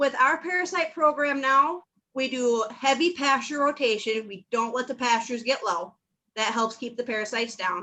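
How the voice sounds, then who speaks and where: A woman's raised, projected voice in a Minnesotan accent, bright and sharp in tone, high in pitch with lively intonation, at a moderate pace. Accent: Minnesota. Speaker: livestock farmer. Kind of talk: casual chat.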